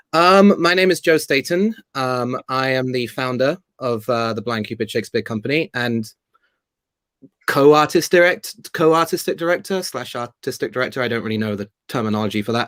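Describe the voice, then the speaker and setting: A man with a British accent, medium pitch, moderate pace, lively intonation, and a dry, close sound with no echo. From Spain. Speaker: theatre company founder and actor. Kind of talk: interview.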